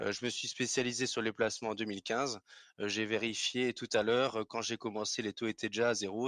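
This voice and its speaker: Delivered at a fairly quick pace with monotone, flat intonation, the speech has a dry, close sound with no echo in a very clean recording with a silent background. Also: man. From Alsace, France. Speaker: finance professional, investment salesperson. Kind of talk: podcast interview. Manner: hesitant, frequent filler sounds.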